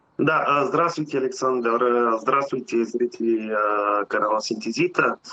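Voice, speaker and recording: A man speaks with a Bulgarian accent at a fairly slow pace. His loudness stays very even throughout. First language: Bulgarian (speaking Russian). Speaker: truck driver, customer testimonial. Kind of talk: testimony. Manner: halting, many filler sounds.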